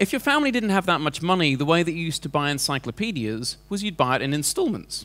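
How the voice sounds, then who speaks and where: This man speaks at a very fast pace with hardly any pauses, his high pitch making very wide swings in a bright, sharp tone. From England. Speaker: entrepreneur and speaker. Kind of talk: presentation to a seminar audience. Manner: conversational, with many fillers.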